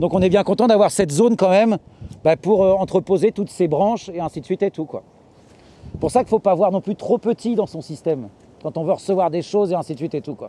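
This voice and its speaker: A man talks very fast in a high, dark and mellow voice with ordinary pitch variation, recorded dry with no echo over light background noise. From Normandy, France. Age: 40s. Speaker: market gardener. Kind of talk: farm tour talk. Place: farm machine.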